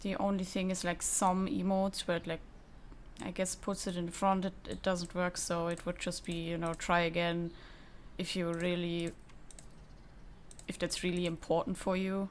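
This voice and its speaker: A woman with a non-native accent speaks at a moderate pace in a fairly low, monotone, flat voice, leaving long, frequent pauses. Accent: foreign accent, self-noted. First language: not English. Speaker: tutorial creator, gamer. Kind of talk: tutorial. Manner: lip smacking.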